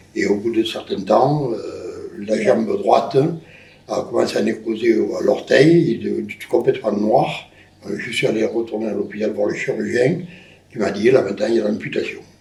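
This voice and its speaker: A man at a moderate pace, with audible room echo. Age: 70s. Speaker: amputee interviewee. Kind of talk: interview. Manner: halting. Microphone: poor sound quality.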